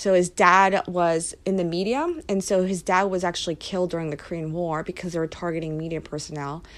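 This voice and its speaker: A woman with a plain, everyday voice and an American accent speaks at a fairly quick pace with hardly any pauses, fairly even intonation and a fairly low pitch, in a very clean recording with a silent background. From Philadelphia, US. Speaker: immigration policy advocate. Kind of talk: interview.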